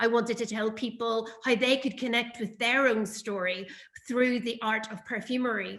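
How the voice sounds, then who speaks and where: A woman's fairly high voice in a Northern Irish accent, monotone and flat, at a moderate pace. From Northern Ireland. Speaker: perfume brand founder. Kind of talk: interview. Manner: hesitant, many fillers.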